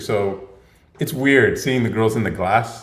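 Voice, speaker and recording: A man's somewhat breathy voice, with ordinary pitch variation, comes through with audible room echo. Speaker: podcast host. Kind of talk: live Q&A stream. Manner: casual, filler-heavy.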